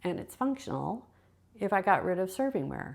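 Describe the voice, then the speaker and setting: At a moderate pace, a woman with a normal speaking voice talks at medium pitch on a very clean recording with a silent background. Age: 60s. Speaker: decluttering vlogger. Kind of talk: casual vlog monologue. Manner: musing, thinking aloud with pauses.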